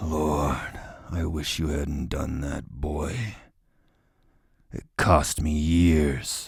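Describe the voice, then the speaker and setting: A man's put-on character voice, growling at a very deep, low pitch, very slow, with long, frequent pauses and fairly even intonation. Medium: read story. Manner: menacing.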